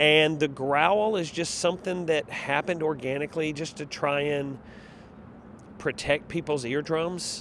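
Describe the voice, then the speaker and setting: A man talks at a fairly slow pace and fairly high pitch in an animated tone. The sound is dry with no echo, over light background noise. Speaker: arena public address announcer. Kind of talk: interview answer. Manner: loud, animated. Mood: warm, enthusiastic. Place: street. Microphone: handheld.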